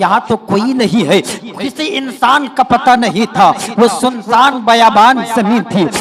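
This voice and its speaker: A man with an extremely high pitch and ordinary pitch variation talks over noticeable background noise. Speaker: Islamic preacher (qari). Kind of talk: Islamic sermon (bayaan). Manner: emotive, storytelling, repetitive emphasis.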